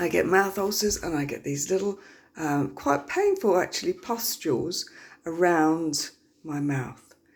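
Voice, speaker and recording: A woman at a very slow pace, with a very deep, low pitch and lively intonation. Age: 50s. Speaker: health vlogger. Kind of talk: casual personal talk to camera. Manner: hesitant, many fillers.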